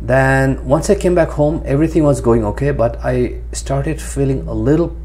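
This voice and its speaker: A man speaks at a moderate pace in a very deep, low pitch. Light background noise can be heard. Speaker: vlogger. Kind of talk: personal vlog monologue. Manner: hesitant, many fillers. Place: home room. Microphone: lapel.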